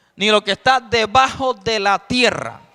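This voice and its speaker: This man's pitch is extremely high. He talks at a very slow pace. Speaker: evangelist preacher. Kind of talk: sermon. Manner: soft-spoken.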